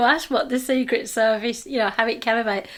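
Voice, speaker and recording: A woman speaks at a moderate pace with a British accent. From Britain. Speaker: podcast host. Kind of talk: interview conversation.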